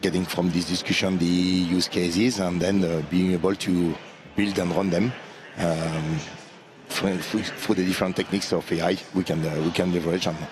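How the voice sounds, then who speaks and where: A man with a strong French accent speaks at a moderate pace in a very deep, low voice, flat and monotone at very even loudness. Music plays in the background, and the room echo is audible. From France. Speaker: AI consulting practice lead. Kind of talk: interview at trade conference. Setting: conference showroom floor live stream. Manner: halting, many fillers.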